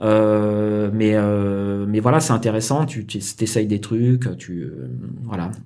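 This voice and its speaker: Very slowly, a man speaks with a dark, mellow tone in a fairly low pitch, with ordinary pitch variation. Room echo is audible. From Paris suburbs, France. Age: 40s. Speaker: concept artist. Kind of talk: casual interview.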